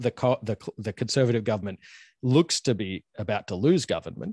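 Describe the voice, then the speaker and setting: Recorded with a dry, close sound with no echo and a quiet background, a man with an Australian accent speaks at medium pitch with lively intonation. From Australia (Queensland). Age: 30s. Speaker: university professor. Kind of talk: casual interview chat.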